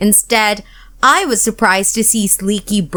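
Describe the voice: What we hear is plain reading aloud from start to finish.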